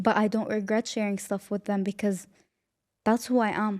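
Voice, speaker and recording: A woman talks at a moderate pace with a fairly high pitch and a dark, mellow tone. The recording is very clean with a silent background, and the sound is dry and close with no echo. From Syria. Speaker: podcast host. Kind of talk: casual monologue. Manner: talkative.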